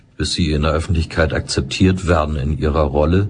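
Calm tone from a man, fairly even intonation, noticeable background noise. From Hamburg, northern Germany. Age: 60s. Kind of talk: interview. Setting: studio.

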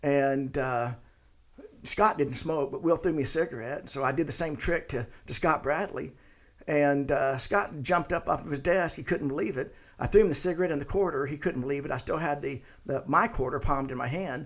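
With a normal speaking voice, a man talks at a fairly high pitch and a fairly quick pace, using ordinary pitch variation. The recording is very clean, with a silent background. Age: 50s. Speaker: retired sales and business veteran, host's father. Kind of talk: casual interview, storytelling.

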